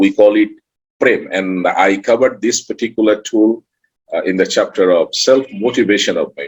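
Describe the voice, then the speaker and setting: At a moderate pace, a man speaks in a Bengali accent. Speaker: author and emotional intelligence trainer. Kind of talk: online summit talk.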